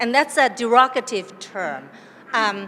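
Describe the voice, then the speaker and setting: A woman's high-pitched, very slow speech with lively intonation, in a Chinese accent. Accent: Chinese accent in English and Mandarin. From southern China, Cantonese. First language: Cantonese. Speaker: academic panelist. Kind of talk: panel talk. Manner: hesitant, many fillers.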